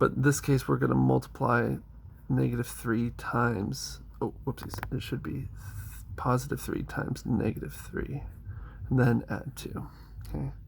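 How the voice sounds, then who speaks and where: Pauses are long and frequent. The pace itself stays moderate. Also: man. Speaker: middle school math teacher. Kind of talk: tutorial. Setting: recorded video lesson.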